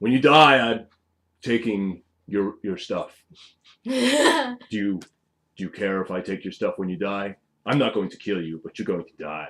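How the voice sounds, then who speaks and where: A man's put-on character voice at a fairly low pitch and fairly slow pace, with long, frequent pauses. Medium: actual play. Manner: gruff, blunt, short sentences.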